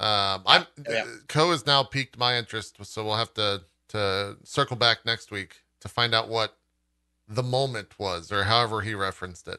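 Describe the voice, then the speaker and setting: A man talks in a fairly low voice with a bright, sharp tone. The sound is dry and close with no echo, over a quiet background. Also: ordinary pitch variation, moderate pace. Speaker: podcast host. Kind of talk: casual chat. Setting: livestream.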